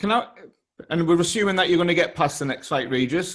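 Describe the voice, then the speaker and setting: This is a man speaking with a British accent. His pitch is high. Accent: regional UK. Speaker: boxing interviewer. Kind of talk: interview.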